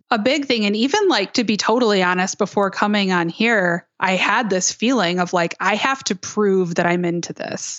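A woman with a Michigan accent, medium pitch, and a fairly slow pace. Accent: Midwestern US (Michigan). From Michigan, suburban Detroit. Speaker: podcast host, improv performer. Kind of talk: interview conversation.

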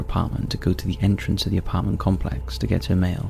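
A man's very deep, low voice in a serious tone, very fast and with very wide pitch swings, over noticeable background noise. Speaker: narrator of true-crime stories. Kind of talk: scripted true-crime horror narration. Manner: measured, suspenseful storytelling pace; serious, ominous tone.

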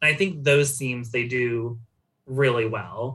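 Bright and sharp in tone, a man's voice sits at a medium pitch with fairly even intonation. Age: 30s. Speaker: online merch shop co-owner and anime fan. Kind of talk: casual chat.

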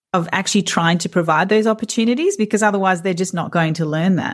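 A woman with an Australian accent in a very clean recording with a silent background. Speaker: podcast host, counsellor. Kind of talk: casual interview chat.

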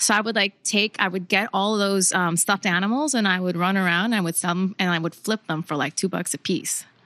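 A woman with a slight Spanish accent speaks at a fairly quick pace with hardly any pauses, in a bright, sharp tone at medium pitch with ordinary variation and very even loudness. The sound is dry and close with no echo, over a quiet background. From Puerto Rico (San Juan). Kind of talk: casual interview chat.

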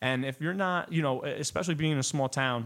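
An unremarkable speaking voice with an American accent, ordinary pitch variation and a fairly quick pace. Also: man. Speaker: singer-songwriter and producer. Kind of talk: casual interview.

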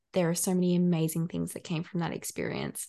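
A woman speaks in an Australian accent with a dark, mellow tone and a fairly low pitch. The background is quiet. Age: 20s. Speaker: mental health worker and student. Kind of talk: podcast interview.

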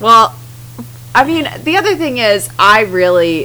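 A woman's fairly low voice has a bright, sharp tone, vocal fry and very wide pitch swings. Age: 20s. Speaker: podcast co-host. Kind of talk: casual chat.

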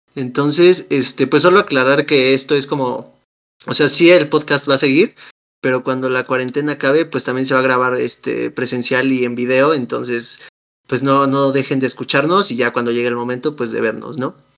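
A man speaks with a Mexican accent at a medium pitch. His pace is moderate and his intonation fairly even. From Mexico. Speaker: podcast co-host. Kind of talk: casual chat.

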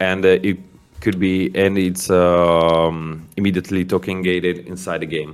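A man with an Italian accent speaks at a moderate pace in a very deep, low voice with a monotone, flat intonation, in a very clean recording over a silent background. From Italy, Milan. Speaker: indie game founder. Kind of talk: interview. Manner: halting.

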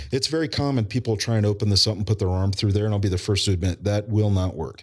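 Fairly low in pitch, a man speaks in a plain, everyday voice with ordinary pitch variation. The recording is very clean, with a silent background. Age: 40s. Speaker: emergency preparedness business owner and military veteran. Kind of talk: casual interview conversation. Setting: in-person recording at guest's business.

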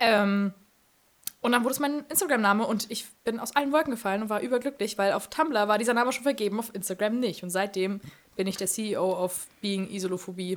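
In a plain, everyday voice, a woman talks at a fairly quick pace with a fairly high pitch and ordinary pitch variation. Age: 20s. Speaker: social media influencer. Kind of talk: casual chat. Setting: studio.

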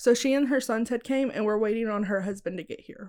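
A woman's fairly high-pitched voice, an ordinary speaking voice, on a very clean recording with a silent background. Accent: American. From Texas. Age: 20s. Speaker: podcast host. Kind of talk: reading from notes.

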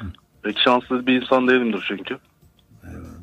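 The speaker is a man with a medium pitch. He keeps a moderate speed. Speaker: caller, earthquake survivor. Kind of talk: testimony. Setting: phone call. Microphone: too close to phone, distorted.

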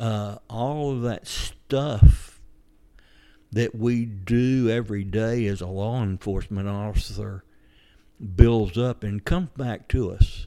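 In a very clean recording with a silent background, a man with a Georgia accent speaks very slowly at a medium pitch, his tone dark and mellow, with ordinary pitch variation and big swings in loudness. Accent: Southern American (Georgia). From US South. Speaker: retired police officer. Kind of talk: interview.

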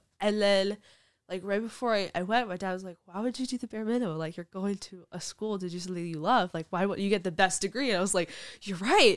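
Speaking at a very fast pace with an American accent, a woman at medium pitch shows ordinary pitch variation and big swings in loudness on a very clean recording with a silent background. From Brooklyn, New York. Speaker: youth leadership mentor. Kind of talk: casual interview chat. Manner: animated.

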